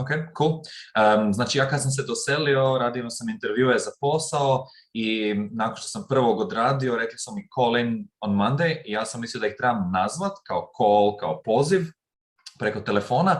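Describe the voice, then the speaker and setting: Speech comes at a fairly slow pace. There is a somewhat breathy quality to it. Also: man, medium pitch for a man, lively intonation. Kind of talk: casual talk to camera.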